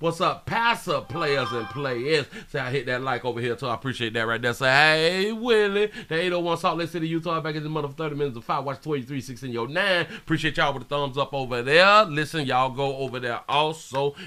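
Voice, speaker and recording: Talking very fast with hardly any pauses, a man uses a fairly high, bright, sharp, animated voice with ordinary pitch variation. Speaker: live-stream news commentator. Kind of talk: casual live-stream commentary. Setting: live stream. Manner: loud.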